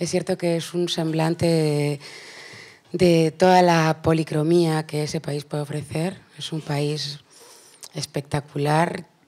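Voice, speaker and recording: Very slowly, a woman speaks in a very deep, low, dark and mellow voice with monotone, flat intonation. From Peru. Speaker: singer. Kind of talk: panel interview.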